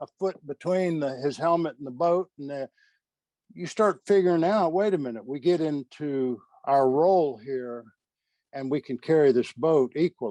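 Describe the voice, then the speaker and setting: A man with a fairly high pitch, a dark, mellow tone and ordinary pitch variation, at a moderate pace, in a dry, close sound with no echo and a quiet background. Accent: American. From Texas. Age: 70s. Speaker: military chaplain and former special forces member. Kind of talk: interview. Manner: halting.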